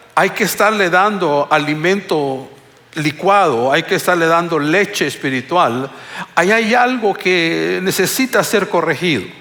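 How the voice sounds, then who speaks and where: A man with a high voice talks fairly slowly, his intonation lively. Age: 60s. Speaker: pastor. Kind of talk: sermon. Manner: halting.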